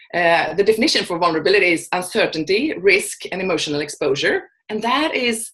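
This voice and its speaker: A woman with a Swedish accent talks very fast at a medium pitch with lively intonation. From Sweden. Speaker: vulnerability and courage coach. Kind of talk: interview. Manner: halting, many fillers and restarts.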